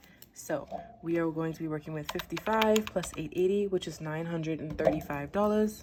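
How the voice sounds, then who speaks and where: A woman speaks at a fairly quick pace and fairly low pitch, with ordinary pitch variation, over noticeable background noise. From Bahamas. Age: 20s. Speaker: budgeting vlogger. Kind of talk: casual tutorial vlog.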